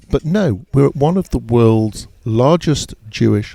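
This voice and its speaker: Lively intonation marks this man's speech in a London accent, his tone dark and mellow. The sound is dry and close, with no echo. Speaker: podcast host. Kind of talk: casual chat. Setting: outdoors in a courtyard.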